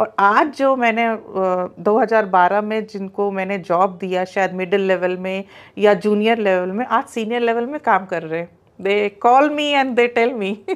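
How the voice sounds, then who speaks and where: A woman with an Allahabad accent speaks at a fairly slow pace with ordinary pitch variation. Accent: Allahabadi Hindi. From India, Allahabad (Uttar Pradesh); Uttar Pradesh, India. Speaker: entrepreneur, skills training company founder; interviewee. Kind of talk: interview. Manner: frequent Hindi-English code-switching. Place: home room. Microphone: lapel.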